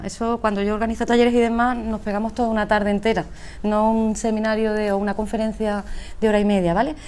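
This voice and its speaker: There is audible room echo as a woman with a fairly high pitch talks at a fairly quick pace. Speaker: speaker at a business conference, emotional intelligence trainer. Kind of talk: conference talk. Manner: fast.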